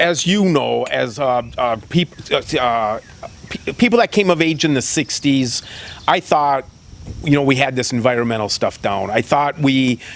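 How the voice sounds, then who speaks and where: A man talks with lively intonation at a fairly high pitch. Noticeable background noise runs underneath. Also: fairly slow pace. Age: 60s. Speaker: state senator. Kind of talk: interview. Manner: halting, many repetitions.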